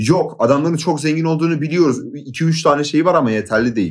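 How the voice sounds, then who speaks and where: At a moderate pace, this is an unremarkable speaking voice with ordinary pitch variation. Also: man. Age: 20s. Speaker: YouTube content creator. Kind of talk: casual chat.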